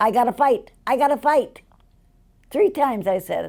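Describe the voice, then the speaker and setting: A woman speaks with a Chicago accent in a dark, mellow tone. Her pace is moderate. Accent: Chicago American English. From US Midwest, Chicago. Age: 80s+. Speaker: interviewee. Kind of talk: life story interview.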